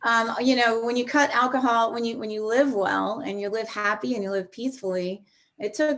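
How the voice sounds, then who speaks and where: An unremarkable speaking voice, fairly quick, with ordinary pitch variation. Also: woman. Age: 50s. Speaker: recovering alcoholic sharing her story. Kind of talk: testimony.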